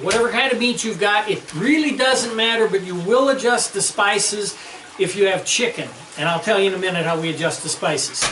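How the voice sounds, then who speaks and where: A man projects a raised voice with lively intonation at a fairly quick pace. Room echo and noticeable background noise are both present. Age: 60s. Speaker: home cook. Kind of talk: cooking tutorial. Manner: casual, conversational.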